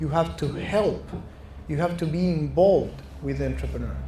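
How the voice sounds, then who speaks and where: A man speaks with a Chilean Spanish accent at a moderate pace. Audible room echo surrounds him. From Chile (Santiago). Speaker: venture capital investor. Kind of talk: fireside chat interview. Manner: halting, with false starts.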